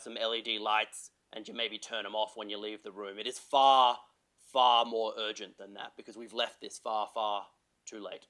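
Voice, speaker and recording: The tone is bright and sharp. It belongs to a man with an Australian accent. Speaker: health sector climate policy expert, panellist. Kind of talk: panel talk. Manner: animated.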